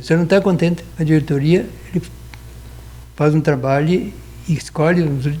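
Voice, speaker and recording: Over noticeable background noise, a man talks at a very fast pace in a fairly high pitch. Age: 70s. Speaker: lawyer. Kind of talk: interview. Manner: halting.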